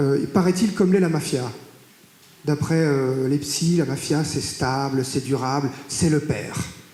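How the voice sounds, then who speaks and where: Fairly slow speech with ordinary pitch variation and very even loudness, plus audible room echo and noticeable background noise. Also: man, fairly high pitch for a man. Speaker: mafia expert, academic. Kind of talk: public talk. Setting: stage with audience in a courthouse. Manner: hesitant, many filler sounds.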